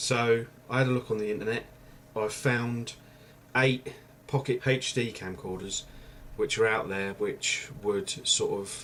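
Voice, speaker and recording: A quiet man at medium pitch, fairly slow, with fairly even intonation. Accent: English. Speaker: YouTuber. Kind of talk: vlog review. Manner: quiet voice; casual, hesitant. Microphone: webcam mic, far from mic.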